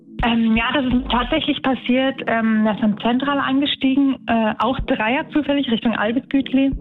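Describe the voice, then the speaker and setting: Music plays in the background as the speaker goes at a fairly slow pace, with fairly even intonation and very even loudness. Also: woman, high pitch for a woman. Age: 30s. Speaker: tram driver. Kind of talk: interview.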